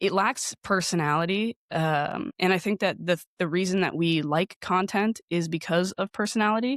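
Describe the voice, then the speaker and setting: A woman's normal speaking voice at a medium pitch and moderate pace, with ordinary pitch variation and very even loudness, dry and close with no echo in a very clean recording with a silent background. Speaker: podcasting professional. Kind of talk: interview.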